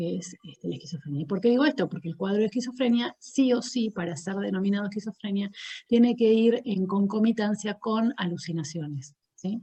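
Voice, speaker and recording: A somewhat breathy woman with a dark, mellow tone and a fairly quick pace. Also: medium pitch for a woman, lively intonation, hardly any pauses. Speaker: psychologist. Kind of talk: lecture.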